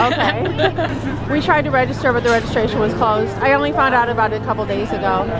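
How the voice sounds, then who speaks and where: The pace is very fast, with hardly any pauses. Crowd noise fills the background. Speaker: street interviewer, video blogger. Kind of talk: street interviews and vlog commentary. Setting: outdoors on a New York City street at night. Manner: casual, enthusiastic.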